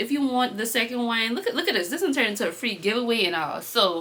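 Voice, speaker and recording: A woman with an animated tone and fairly high pitch at a very fast pace, over noticeable background noise. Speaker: book vlogger. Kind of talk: casual vlog chat.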